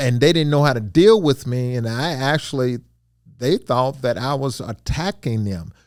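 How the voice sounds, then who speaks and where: Speaking in a Mississippi accent, a man keeps a moderate pace and medium pitch with lively intonation. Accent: Mississippi Southern. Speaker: retired company administrator, father. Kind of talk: casual family interview. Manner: loud, forceful when excited.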